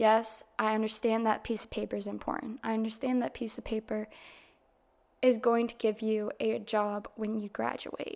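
A woman with an American accent and a fairly high pitch speaks at a moderate pace in a monotone with flat intonation, on a very clean recording with a silent background. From Massachusetts, US. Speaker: podcast host. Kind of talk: solo podcast monologue, casual. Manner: monotone at times, casual; conversational, candid.

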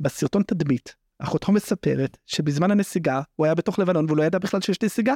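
Fairly quick and with hardly any pauses, a man speaks with high pitch, ordinary pitch variation and very even loudness. His tone is dark and mellow, and the sound is dry and close with no echo. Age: 30s. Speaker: legal affairs journalist. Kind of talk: casual chat.

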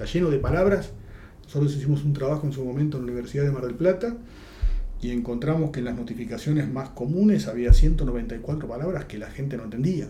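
With lively intonation and big swings in loudness, a man talks at a very fast pace in a room with audible echo. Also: fairly high pitch for a man. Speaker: judge. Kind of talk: interview. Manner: halting, repeats words.

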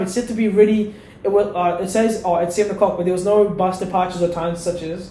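A man talks at a very fast pace in a high pitch with fairly even intonation. Noticeable background noise and audible room echo surround him. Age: young. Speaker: university student. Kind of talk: casual chat.

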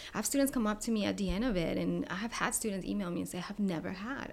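Speaking at a very fast pace, a woman talks with a Spanish accent. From Colombia. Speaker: sociology professor. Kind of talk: panel discussion.

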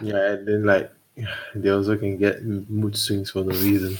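At a moderate pace, a man speaks at a fairly low pitch in an ordinary speaking voice. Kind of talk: casual chat.

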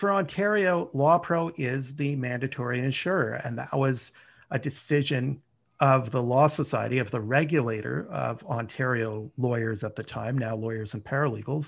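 At a moderate pace, a man speaks with a Canadian accent in a normal speaking voice. His pitch is medium with ordinary pitch variation. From Canada, Ottawa. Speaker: lawyer, risk management manager. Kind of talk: interview.

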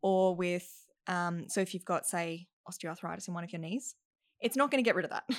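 A woman speaks at a fairly quick pace with ordinary pitch variation in a very clean recording against a silent background. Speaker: actor and singing teacher. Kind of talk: casual chat.

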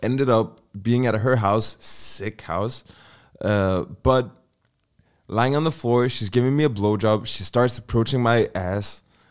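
A man's unremarkable speaking voice at medium pitch, in a very clean recording with a silent background. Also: ordinary pitch variation, fairly slow pace. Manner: joking.

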